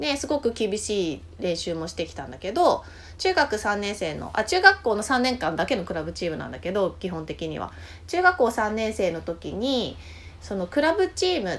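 A woman talks at a moderate pace, her loudness swinging widely, with noticeable background noise behind her. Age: 40s. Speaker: podcast host, journaling guide. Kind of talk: casual chat.

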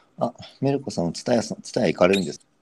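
A man at a very fast pace, his pitch fairly low. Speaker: marketing and brand expert. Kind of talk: casual chat. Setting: live audio stream, remote collab.

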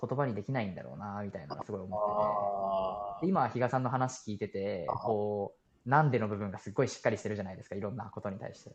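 Fairly quick and fairly low-pitched, a man's speech comes in an unremarkable speaking voice. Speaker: university student. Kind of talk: casual chat. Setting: phone call.

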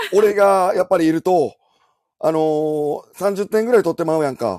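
Speaking at a fairly slow pace with a Kansai accent, a man shows ordinary pitch variation in a dry, close sound with no echo. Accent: Kansai Japanese. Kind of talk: casual banter, imitation demonstration.

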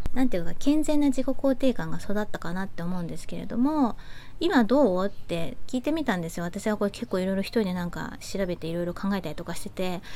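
Her tone is dark and mellow, at a medium pitch for a woman. She moves at a fairly quick pace with lively intonation. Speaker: podcast host. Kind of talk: casual monologue. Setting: outdoors on home terrace.

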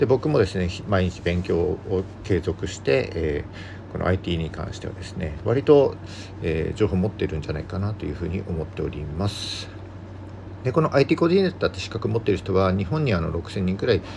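A man's very deep, low voice at a fairly quick pace, with ordinary pitch variation and noticeable background noise. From Japan, Yamagata countryside. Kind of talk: solo podcast talk, informational. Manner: frequent filler words.

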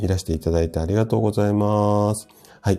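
In a very clean recording with a silent background, a man speaks with a dark, mellow tone and a fairly low pitch. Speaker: health practitioner hosting a live audio stream. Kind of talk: casual health talk on a live stream, greeting listeners. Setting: live audio stream. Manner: hesitant, many fillers.

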